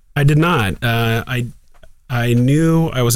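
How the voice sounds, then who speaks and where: The speaker has a Midwestern American accent and ordinary pitch variation. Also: man. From Columbus, Ohio. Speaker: ophthalmologist. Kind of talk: casual interview.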